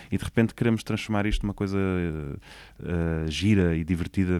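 A normal speaking voice with ordinary pitch variation moves at a fairly quick pace in a very clean recording with a silent background. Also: man. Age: 30s. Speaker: orchestra conductor. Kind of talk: interview conversation. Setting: recording room in a theatre.

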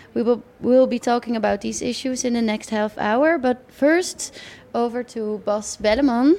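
With a Dutch accent and a dark, mellow tone, a woman speaks at a high pitch and a moderate pace, her pitch varying in an ordinary way. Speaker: radio host.

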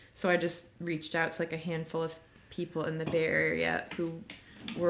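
This woman has an American accent. She talks at a moderate speed. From Chicago, US Midwest. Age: 20s. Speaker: social media marketing manager. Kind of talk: casual chat. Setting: crowded bar.

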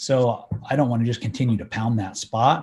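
At a moderate pace, a man with an American accent speaks in a somewhat breathy voice with fairly even intonation. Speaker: hunter and trail camera user. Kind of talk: casual chat.

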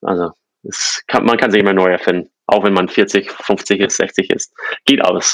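A man speaks in a monotone, flat way with very even loudness and long, frequent pauses, in a dry, close sound with no echo. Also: fairly low pitch for a man, moderate pace. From US East Coast, born in Czechoslovakia. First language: English (Slovak as a small child) (speaking German). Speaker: fintech founder. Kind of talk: interview. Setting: remote call.

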